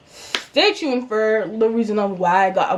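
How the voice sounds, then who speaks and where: A woman with an Antiguan accent and a fairly high pitch at a fairly slow pace, amid noticeable background noise. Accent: Antiguan Caribbean. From Antigua and Barbuda. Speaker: YouTuber. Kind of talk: storytime vlog. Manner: animated.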